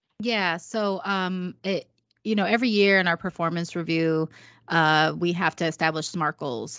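A woman has a plain, everyday voice, fairly low in pitch. She speaks at a fairly slow pace with fairly even intonation. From Puerto Rican background, US Northeast. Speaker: marketing director and diversity lead. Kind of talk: casual chat.

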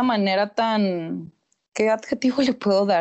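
An unremarkable speaking voice from a woman, medium in pitch, fairly even in intonation, at a fairly slow pace. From Mexico, Torreón, Coahuila. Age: 20s. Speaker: sociologist. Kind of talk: casual chat.

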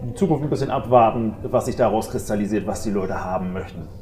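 A man is speaking. The recording has audible room echo and noticeable background noise. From northern Germany, Dithmarschen (Schleswig-Holstein). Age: 40s. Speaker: gym owner. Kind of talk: casual interview.

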